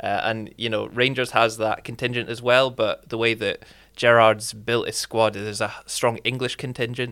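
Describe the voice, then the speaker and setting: Against a silent background on a very clean recording, a man with a Glasgow accent speaks in a bright, sharp tone with monotone, flat intonation. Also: medium pitch for a man, moderate pace. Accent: Scottish, Glasgow. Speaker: football fan guest. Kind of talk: casual chat.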